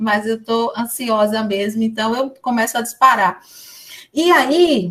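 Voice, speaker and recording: Her pitch fairly high and its variation ordinary, a woman is talking. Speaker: education professor. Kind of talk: lecture. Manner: fast.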